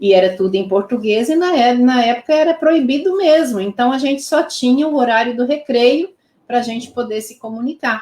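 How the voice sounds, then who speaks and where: Lively intonation in a fairly high female voice. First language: Pomeranian (speaking Portuguese). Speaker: Pomeranian language teacher. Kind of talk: interview. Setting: live stream.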